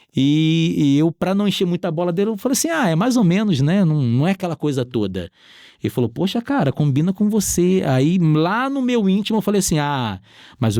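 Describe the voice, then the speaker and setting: A man's fairly high, dark, mellow voice with very wide pitch swings at a fairly quick pace, in a dry, close sound with no echo. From Rio de Janeiro, Brazil. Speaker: entrepreneur. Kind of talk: interview testimony.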